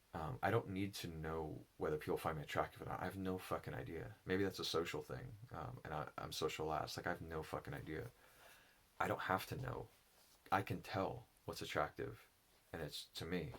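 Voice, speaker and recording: A man's very deep, low voice with vocal fry and lively intonation. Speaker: enneagram and spirituality teacher. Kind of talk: personal reflective monologue. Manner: halting; slow.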